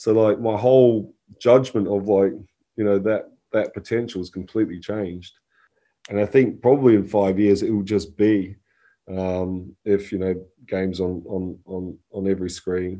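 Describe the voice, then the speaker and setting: The tone is dark and mellow, with fairly even intonation. Behind it the background is quiet. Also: man, fairly low pitch for a man, moderate pace. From New Zealand. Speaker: game studio founder. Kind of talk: interview.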